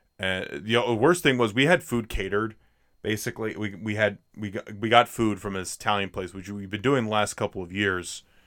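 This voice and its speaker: A man with a plain, everyday voice talks at a fairly quick pace with a fairly low pitch, ordinary pitch variation and big swings in loudness. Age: 20s. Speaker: podcast host. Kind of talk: casual chat about films.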